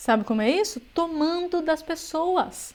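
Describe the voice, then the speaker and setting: Her pitch rises and falls in an ordinary way. The speaker is a woman. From São Paulo, Brazil. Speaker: political commentary youtuber. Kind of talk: reaction commentary.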